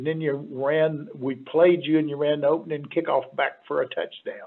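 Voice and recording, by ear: Using a put-on character voice, a man speaks in a gravelly, fairly high tone with fairly even intonation at a moderate pace.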